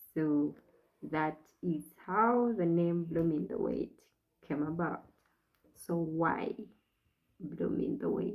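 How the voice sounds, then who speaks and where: Soft-spoken and very slow, the speaker leaves long, frequent pauses and uses ordinary pitch variation. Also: woman, fairly low pitch for a woman. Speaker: faith vlogger on infertility. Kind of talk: personal reflection monologue. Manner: slow, deliberate articulation.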